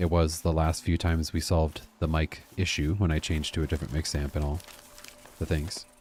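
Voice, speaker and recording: Soft-spoken and very deep, a man talks at a moderate pace with fairly even intonation. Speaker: gaming streamer. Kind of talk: live gameplay stream commentary. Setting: live stream, talking to chat. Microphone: quiet stream audio, viewer says too quiet.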